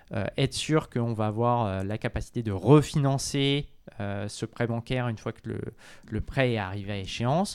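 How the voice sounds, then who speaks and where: The recording is very clean, with a silent background. A man with an ordinary speaking voice talks at a moderate pace and medium pitch, with ordinary pitch variation. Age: 30s. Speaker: real estate fund manager. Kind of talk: interview.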